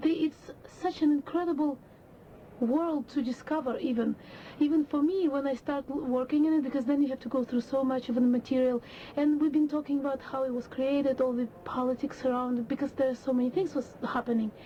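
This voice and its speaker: A woman speaks fairly quickly in a high, breathy voice. Her intonation is fairly even, and there is noticeable background noise. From Russia. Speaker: opera singer. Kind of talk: interview.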